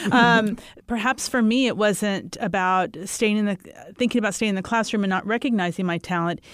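A woman speaks with a Texan accent at a fairly high pitch. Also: ordinary pitch variation, fairly quick pace. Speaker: school superintendent. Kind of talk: panel discussion.

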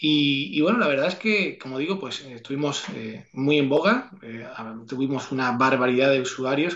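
At a medium pitch and moderate pace, this man uses a normal speaking voice with ordinary pitch variation. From Andalusia, Seville province. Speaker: entrepreneur and investor. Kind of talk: interview.

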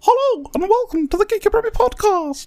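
Someone performs a put-on character voice at an extremely high pitch. The pace is fairly quick. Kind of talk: high-pitched.

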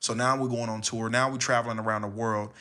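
A man with an American accent speaks very fast in a medium pitch, his bright, sharp tone delivered in a flat monotone. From Los Angeles, California. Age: 20s. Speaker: spoken word poet. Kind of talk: casual chat. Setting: home studio.

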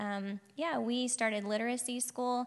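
A plain, everyday voice from a woman with an American accent, at a moderate pace against a quiet background. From Oklahoma, Piedmont. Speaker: missionary. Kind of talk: testimony.

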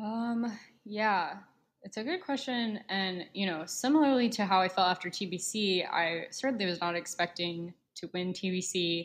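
Speaking at a moderate pace, a woman with an unremarkable speaking voice keeps a medium pitch with ordinary variation. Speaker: former college mock trial competitor. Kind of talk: casual chat. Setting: video call.

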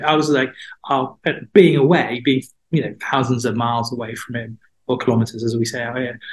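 Somewhat breathy, a man speaks at a fairly quick pace with medium pitch and ordinary pitch variation. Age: 50s. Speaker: mental health platform founder, former journalist. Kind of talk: interview.

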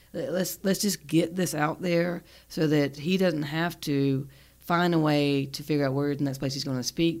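A woman with a Southern US accent speaks in a very deep, low voice. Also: very clean recording, silent background. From US South, South Carolina. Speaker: podcast host and psychotherapist. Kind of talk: casual interview chat.

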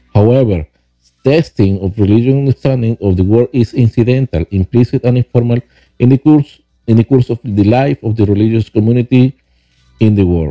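A man with a Spanish accent speaks at a fairly quick pace and a medium pitch. His tone is dark and mellow, with ordinary pitch variation. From Venezuela. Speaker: podcast host, author and rideshare driver. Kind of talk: reading aloud from own book. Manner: halting, with many fillers and repeats.

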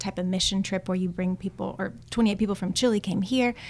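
A woman speaks with a Texan accent. Her pitch sits at a medium level. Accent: Texan American. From Austin, Texas. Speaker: church ESL volunteer coordinator. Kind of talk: interview.

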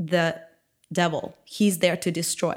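A woman with a Ukrainian accent speaks in a fairly low pitch, recorded very cleanly against a silent background. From Ukraine. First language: Ukrainian or Russian. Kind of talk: testimony and casual interview chat.

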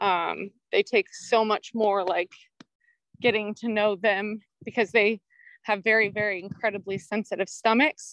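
Her voice is medium in pitch and monotone, with flat intonation and long, frequent pauses. The woman's recording sounds dry and close, with no echo. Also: fairly slow pace. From California. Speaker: horse rescue founder. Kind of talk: interview. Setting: video call, walking around her property.

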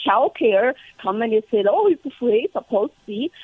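A woman with a Chinese accent, at a moderate pace, her pitch swinging very widely. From China. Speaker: congressional candidate. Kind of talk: radio interview.

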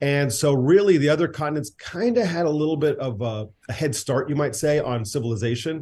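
With an American accent, a man talks at a fairly quick pace with hardly any pauses and lively intonation. His fairly high voice has a dark, mellow tone and is somewhat breathy. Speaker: film director and writer, former radio host. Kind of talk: casual interview chat.

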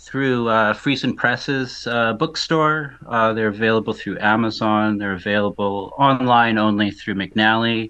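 A man at medium pitch, moderate in pace, with hardly any pauses. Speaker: anonymous music reviewer. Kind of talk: casual interview. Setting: video call. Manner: voice-changed; halting.

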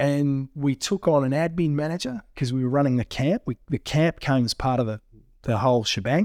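In a very clean recording with a silent background and a dry, close sound with no echo, a man with an Australian accent talks at a moderate pace with ordinary pitch variation. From Australia, southwestern Victoria. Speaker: mining company managing director. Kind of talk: casual interview.

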